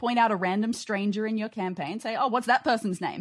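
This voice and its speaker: A woman has a plain, everyday voice, fairly high in pitch with ordinary pitch variation. The recording is very clean over a silent background. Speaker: escape room podcaster panelist. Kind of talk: comedy panel game. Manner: excitable, cheerful.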